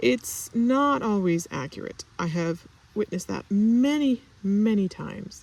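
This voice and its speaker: A woman's medium-pitched voice at a fairly slow pace, with very wide pitch swings. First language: not English. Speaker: stationery and fountain pen vlogger. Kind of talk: casual vlog chat. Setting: outdoors in orchard. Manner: halting with fillers.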